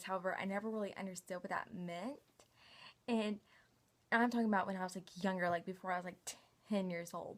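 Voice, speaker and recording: A woman with a Southern US accent talks very fast in a flat monotone, broken by long, frequent pauses. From US South, Knoxville, Tennessee. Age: 20s. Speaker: vlogger. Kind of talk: casual personal vlog. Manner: casual, filler-heavy.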